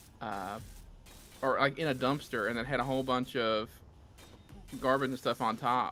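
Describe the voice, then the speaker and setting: The speaker has a Southern US accent and a monotone, flat intonation. Music plays in the background. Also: man. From US South. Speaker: gamer on co-op stream. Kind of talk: casual chat.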